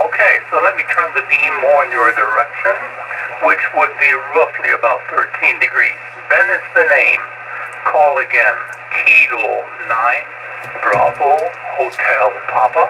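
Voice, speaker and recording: Over noticeable background noise, a man talks at a fairly slow pace with long, frequent pauses and very even loudness. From Germany. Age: 70s. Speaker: amateur radio operator. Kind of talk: amateur radio contact. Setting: amateur radio transmission.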